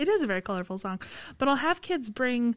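Her intonation lively, a woman with an unremarkable speaking voice talks at a fairly high pitch. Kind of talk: casual chat. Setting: studio.

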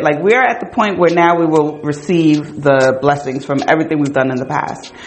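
Loud and animated, a woman with an American accent talks at a moderate pace over noticeable background noise. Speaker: podcast host. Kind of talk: casual chat with a friend. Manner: loud, animated, talkative.

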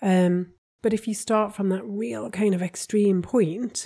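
A woman with a Geordie accent, medium-pitched, somewhat breathy and dark, mellow in tone, at a fairly slow pace with ordinary pitch variation. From northern England (Newcastle). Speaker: podcast co-host, relationship coach. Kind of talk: casual chat.

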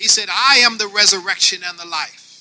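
A man's high-pitched, bright, sharp voice, raised and projected, at a moderate pace. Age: 50s. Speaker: pastor. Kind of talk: sermon.

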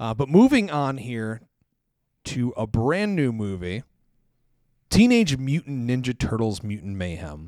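On a very clean recording with a silent background, an animated man at medium pitch talks at a fairly slow pace with very wide pitch swings and long, frequent pauses. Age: 40s. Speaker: film podcast host. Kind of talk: casual chat.

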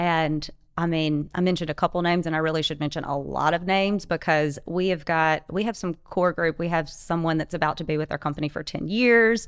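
A woman with an ordinary speaking voice, fairly low pitch, fairly quick pace, fairly even intonation and hardly any pauses. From US South, North Louisiana. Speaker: real estate and hotel business owner. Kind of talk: casual chat.

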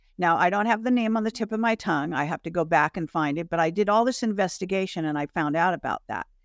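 A woman with an American accent at a medium pitch and a very fast pace, with hardly any pauses and ordinary pitch variation, in a very clean recording with a silent background and a dry, close sound with no echo. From Michigan, US. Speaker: alternative media host and interviewer, former film industry worker. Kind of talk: casual conversation.

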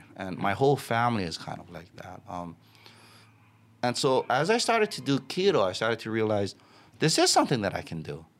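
Moving at a fairly quick pace, a man with a medium pitch shows very wide pitch swings and big swings in loudness. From Hawaii, Waianae. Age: 30s. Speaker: video production crew member. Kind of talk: casual chat. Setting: studio.

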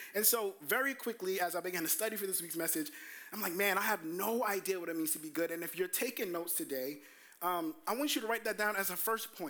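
A man with a high pitch speaks in a raised, projected voice at a very fast pace, animated in tone and lively in intonation, over noticeable background noise. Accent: American. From US Northeast, Brooklyn, New York. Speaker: pastor. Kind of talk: sermon. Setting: church.

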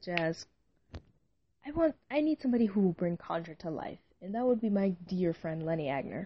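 A woman speaks at a fairly quick pace, her voice somewhat breathy, with very wide pitch swings. Long pauses break up her speech often. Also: medium pitch for a woman. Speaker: amateur fiction writer and podcaster. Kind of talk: casual solo monologue. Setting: home recording, late at night. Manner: rambling, hesitant.

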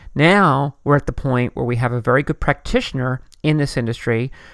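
A man with a fairly high voice talks at a fairly quick pace in a dry, close recording with no echo and a silent background. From US, Philadelphia area. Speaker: podcast host. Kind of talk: solo podcast commentary. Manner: fast.

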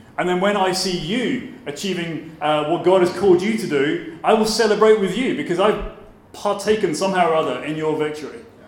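Fairly quick delivery with ordinary pitch variation over noticeable background noise. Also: man, high pitch for a man. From southern England. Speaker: pastor. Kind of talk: sermon-style conference talk. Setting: conference stage with audience.

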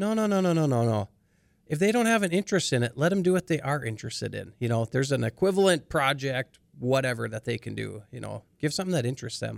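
On a very clean recording with a silent background, a man talks at a very fast pace and medium pitch, with very wide pitch swings. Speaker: podcast host. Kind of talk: interview conversation.

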